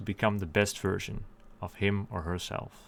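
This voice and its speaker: A man with a fairly low voice speaks at a moderate pace. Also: very clean recording, silent background. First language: Dutch. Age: 20s. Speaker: YouTuber. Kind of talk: scripted monologue.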